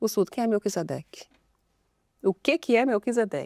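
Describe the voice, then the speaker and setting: A woman's fairly high-pitched voice, dry and close with no echo, in a very clean recording with a silent background. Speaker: sign language interpreter. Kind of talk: casual chat. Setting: studio. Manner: fast.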